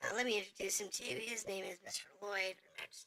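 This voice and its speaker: Someone uses a raspy put-on character voice. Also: woman. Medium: game stream. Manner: formal, deferential.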